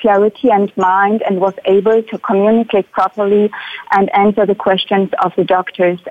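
A woman with a German accent at medium pitch, moderate in pace, with fairly even intonation. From Germany. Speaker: psychologist. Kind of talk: testimony. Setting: remote call-in.

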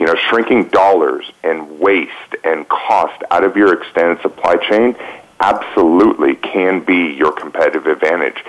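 A man at a moderate pace, his loudness very even, with noticeable background noise. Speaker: business technology executive. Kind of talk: panel discussion.

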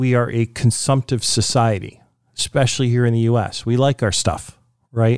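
A man talks in a plain, everyday voice at a medium pitch and a moderate pace. The recording is very clean, with a silent background. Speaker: radio show host. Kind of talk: interview on a radio show.

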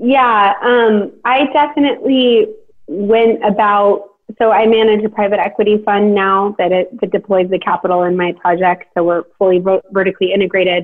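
Using an American accent, a woman talks at a moderate pace and a medium pitch with ordinary pitch variation. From US West Coast, Sacramento area, California. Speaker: real estate developer. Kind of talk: interview. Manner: hesitant with fillers.

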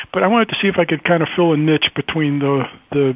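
Noticeable background noise sits behind a man whose voice has a fairly high pitch. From US South, Louisville, Kentucky. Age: 60s. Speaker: writer and publisher. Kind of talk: radio interview. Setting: radio show. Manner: hesitant, many fillers.

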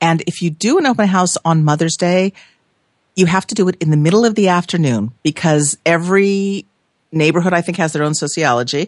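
A woman with an American accent and a normal speaking voice, fairly low in pitch, fairly quick in pace, with ordinary pitch variation and very even loudness. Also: dry, close sound with no echo. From Los Angeles. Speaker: real estate broker. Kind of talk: casual chat.

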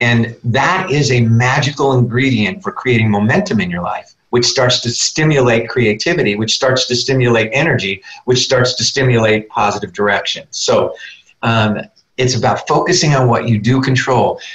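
A man's medium-pitched voice at a moderate pace, with ordinary pitch variation. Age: 60s. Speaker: leadership speaker and coach. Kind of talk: radio interview. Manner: animated.

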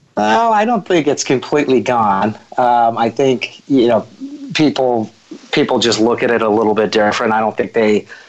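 Medium pitch for a man, very even loudness, ordinary pitch variation and a moderate pace. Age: 40s. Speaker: recruiting firm founder. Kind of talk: interview conversation. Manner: halting, many fillers.

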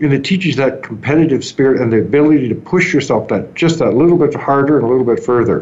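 Amid noticeable background noise and audible room echo, a man with a Canadian accent and fairly high pitch speaks very fast with very even loudness and ordinary pitch variation. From Canada, southern Ontario. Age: 60s. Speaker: entrepreneur. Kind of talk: interview.

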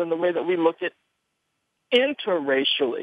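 A man is talking. His voice rises and falls over a very wide range. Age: 30s. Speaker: history professor. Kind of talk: radio talk show discussion.

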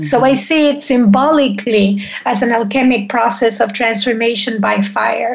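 A woman speaks in an ordinary speaking voice at fairly high pitch. Her pace is moderate, with hardly any pauses. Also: ordinary pitch variation. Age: 60s. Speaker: menopause coach and author. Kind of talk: casual interview.

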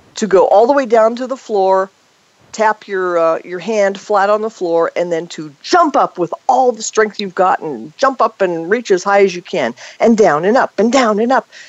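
The speech comes at a fairly slow pace in an unremarkable speaking voice. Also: woman. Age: 50s. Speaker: fitness and health expert. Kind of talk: interview.

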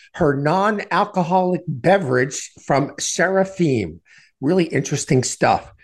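A man with a normal speaking voice, fairly high in pitch, fairly slow, with ordinary pitch variation. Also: quiet background. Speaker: radio host. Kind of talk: radio interview. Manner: polished, conversational.

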